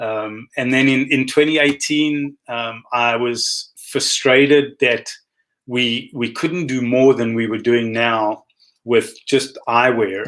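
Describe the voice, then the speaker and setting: Speaking very slowly with a South African accent, a man keeps a medium pitch and fairly even intonation. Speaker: optometrist. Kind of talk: interview.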